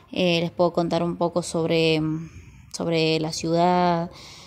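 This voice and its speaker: Over light background noise, a woman talks at a fairly slow pace in a fairly low pitch. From Argentina, Salta; Argentina. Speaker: vlogger. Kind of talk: casual vlog. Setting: at home among plants. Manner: hesitant, many fillers. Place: garden. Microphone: phone near.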